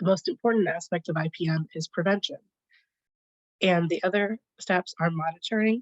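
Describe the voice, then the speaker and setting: A woman's fairly low, somewhat breathy voice at a fairly quick pace, with ordinary pitch variation. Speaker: librarian, collections care specialist. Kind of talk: conference presentation. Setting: video call.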